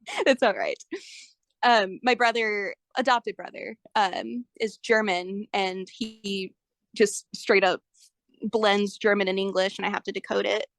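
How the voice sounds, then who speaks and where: A woman has an unremarkable speaking voice at a medium pitch. She talks at a fairly slow pace, and the sound is dry and close with no echo. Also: fairly even intonation. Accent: American. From United States. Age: 20s. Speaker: interviewee sharing abuse experiences. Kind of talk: casual interview chat. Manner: casual, filler-heavy.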